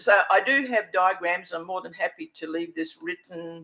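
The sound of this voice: A man's bright, sharp tone at a moderate pace, with fairly even intonation.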